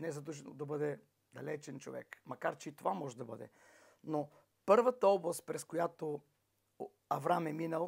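Against a quiet background, a man speaks at a fairly slow pace with vocal fry and ordinary pitch variation. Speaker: preacher. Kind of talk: sermon. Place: home room.

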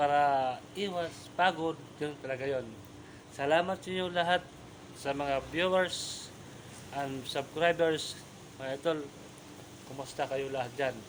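Leaving long, frequent pauses, a man talks at a fairly slow pace and fairly high pitch with fairly even intonation. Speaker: vlogger. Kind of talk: casual vlog update. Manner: halting, stumbling over words; soft-spoken.

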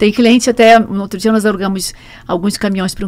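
A woman is speaking. Her pace is very fast. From Brazil, Rio de Janeiro. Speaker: truck rental executive; guest. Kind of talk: interview. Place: studio. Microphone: studio mic.

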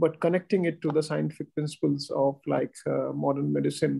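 A man speaks at a moderate pace. Behind him the background is quiet. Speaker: guest. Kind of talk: formal welcome remarks. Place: office. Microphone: video call.

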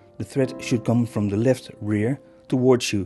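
Over music in the background, a man with a non-native accent speaks at a very slow pace with ordinary pitch variation. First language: not English. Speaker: sewing machine tutorial maker. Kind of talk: tutorial narration.

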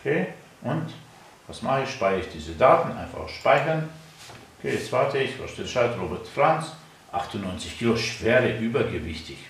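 In a room with audible echo, a man speaks at a moderate pace with big swings in loudness and long, frequent pauses. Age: 50s. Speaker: natural health activist; product demonstrator. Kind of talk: product demonstration. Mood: relaxed, self-assured. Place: studio. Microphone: camera far.

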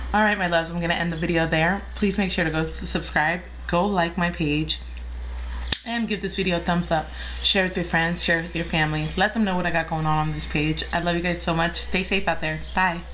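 Light background noise sits behind a woman speaking at a fairly quick pace. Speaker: mukbang vlogger. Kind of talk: casual vlog chat. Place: home room. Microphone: phone near.

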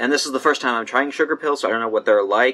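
A man's bright, sharp tone with lively intonation. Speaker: beauty vlogger. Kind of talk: casual vlog chat. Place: home room.

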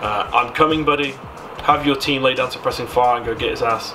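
A man's pitch varies in an ordinary way as music plays in the background. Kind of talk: casual commentary reading quiz aloud. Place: home room. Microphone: studio mic.

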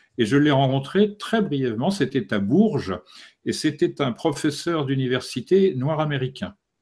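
Over a quiet background, a man speaks at a fairly slow pace with lively intonation. His voice is fairly high and somewhat breathy. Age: 60s. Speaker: esoteric author; interviewee. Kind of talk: interview. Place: home room. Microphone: studio mic.

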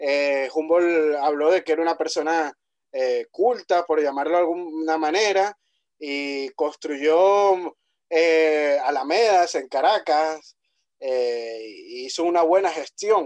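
This man's voice sits fairly high and has ordinary pitch variation. He speaks at a very slow pace over a quiet background. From Venezuela, Puerto La Cruz; Venezuela. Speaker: podcast host. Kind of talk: podcast interview. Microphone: video call.

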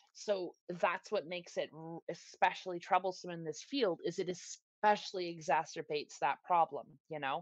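A woman speaks in a plain, everyday voice at a fairly low pitch and moderate pace. Her intonation is fairly even, and the sound is dry and close with no echo. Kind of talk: podcast conversation.

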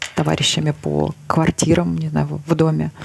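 Light background noise sits under this woman as she speaks at a moderate pace. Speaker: podcast host. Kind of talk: casual interview chat. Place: studio. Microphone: lapel.

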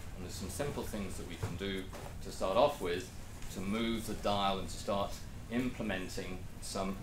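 A man is speaking in a room with audible echo. Light background noise can be heard. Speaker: presenter. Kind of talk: lecture. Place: meeting room.

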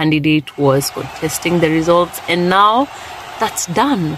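There is a dry sound with no echo. A woman speaks fairly slowly in a very deep, low voice. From Kenya. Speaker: vlogger. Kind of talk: casual vlog chat. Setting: in a car. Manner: animated. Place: car. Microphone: phone near.

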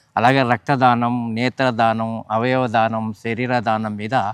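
This is a plain, everyday voice with fairly even intonation. The recording is very clean, with a silent background and a dry, close sound with no echo. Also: man. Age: 60s. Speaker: organ donation activist. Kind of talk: interview.

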